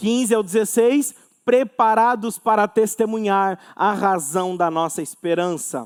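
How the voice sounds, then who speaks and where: This man's voice is high-pitched, moving at a fairly slow pace with ordinary pitch variation. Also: very clean recording, silent background. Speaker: pastor. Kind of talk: sermon. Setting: church.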